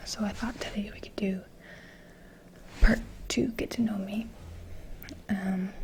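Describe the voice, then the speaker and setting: The speaker is soft-spoken. Long, frequent pauses break up the speech. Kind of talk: ASMR soft-spoken get-to-know-me talk to camera.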